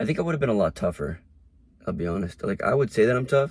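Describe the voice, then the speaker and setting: A man with an American accent talks with very wide pitch swings. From US, Mexican-American family. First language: Spanish. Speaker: vlogger. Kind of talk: casual monologue.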